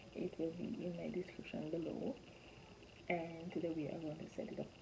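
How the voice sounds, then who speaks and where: A woman's fairly low voice at a moderate pace, with noticeable background noise. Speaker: parenting vlogger. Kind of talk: casual vlog chat. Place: home room. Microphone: phone near.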